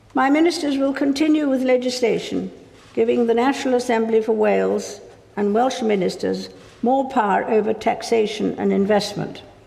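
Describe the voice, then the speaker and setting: A woman keeps her loudness very even. Noticeable background noise runs underneath. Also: moderate pace. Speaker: monarch. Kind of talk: formal state address read from script. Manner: measured, formal.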